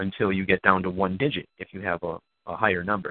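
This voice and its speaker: At a very fast pace, a man with a very deep, low pitch speaks with fairly even intonation. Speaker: numerology researcher and activist. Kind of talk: interview. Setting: phone call.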